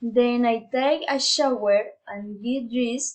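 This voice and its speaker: With ordinary pitch variation, a woman speaks in a fairly high voice. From Colombia, Putumayo. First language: Spanish. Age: 20s. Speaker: university student. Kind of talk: prepared monologue for class. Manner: halting.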